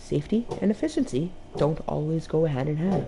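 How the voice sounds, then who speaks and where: A woman speaks with a very deep, low pitch and a dark, mellow tone. Her voice is somewhat breathy, with lively intonation. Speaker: video game streamer. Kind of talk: gameplay stream, reading game text aloud with comments.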